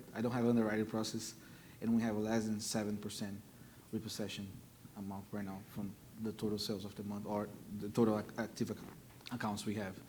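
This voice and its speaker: A man with a Brazilian Portuguese accent speaks very fast at a fairly low pitch, in a monotone, flat intonation. Long, frequent pauses break up his speech, and audible room echo is present. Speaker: car dealer. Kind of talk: panel discussion.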